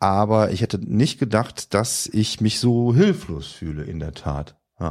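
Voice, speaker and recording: The recording is very clean, with a silent background. A man speaks fairly slowly in a fairly low pitch, his intonation lively. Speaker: podcast guest recounting a blindness experience exhibit. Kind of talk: casual chat.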